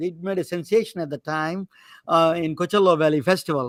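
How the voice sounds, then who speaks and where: Speaking with a non-native accent, a man talks in a high voice with ordinary pitch variation. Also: dry, close sound with no echo, very clean recording, silent background. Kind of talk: lecture-like, explaining.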